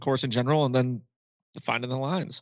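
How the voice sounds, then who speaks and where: An ordinary speaking voice with fairly even intonation comes over a quiet background. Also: man. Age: 20s. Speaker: podcast co-host. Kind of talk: casual chat.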